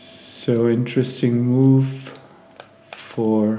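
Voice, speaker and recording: A man speaks with a non-native accent. Audible room echo and noticeable background noise surround his voice. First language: not English. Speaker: backgammon player and streamer. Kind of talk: live game commentary. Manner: hesitant, many fillers.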